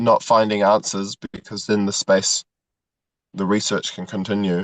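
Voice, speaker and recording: In a dry, close recording with no echo and a quiet background, a man speaks at a moderate pace in a monotone, flat intonation. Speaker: men's group participant. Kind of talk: casual conversation. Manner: halting, many fillers and repetitions.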